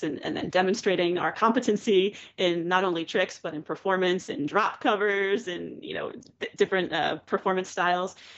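A woman's normal speaking voice at medium pitch, with ordinary pitch variation and a moderate pace. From Pennsylvania, Philadelphia suburbs. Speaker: juggler and keynote speaker. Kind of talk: casual interview.

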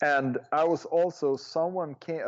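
A man with a Swedish accent speaks at a fairly slow pace with ordinary pitch variation. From northern Sweden. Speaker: juggler and juggling historian. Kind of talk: interview conversation.

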